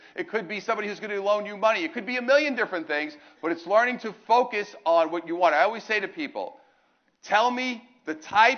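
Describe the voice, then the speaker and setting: With a New York accent, a man speaks at a fairly quick pace in a high pitch, his tone animated, his intonation lively and his loudness swinging widely. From New York, Brooklyn. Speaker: motivational speaker. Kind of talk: motivational talk. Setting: stage with audience.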